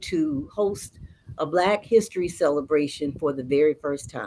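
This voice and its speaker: Very slow speech from a woman, her voice very deep and low, with ordinary pitch variation. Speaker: storyteller. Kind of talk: interview answer.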